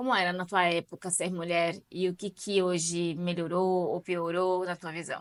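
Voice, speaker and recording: A woman with an unremarkable speaking voice talks fairly slowly, with hardly any pauses, at a fairly low pitch and fairly even intonation. The recording is very clean with a silent background, the sound dry and close with no echo. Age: 30s. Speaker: channel host, interviewer. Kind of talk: casual interview. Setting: video recording with her mother.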